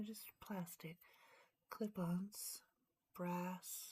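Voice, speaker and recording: Soft-spoken delivery. The pace is very slow. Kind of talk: casual chat. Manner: hesitant.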